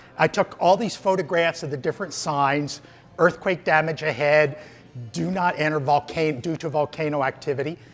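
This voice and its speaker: Music plays in the background as a man talks at a moderate pace. His voice is fairly high and animated in tone. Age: 60s. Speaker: visiting tourist. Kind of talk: interview.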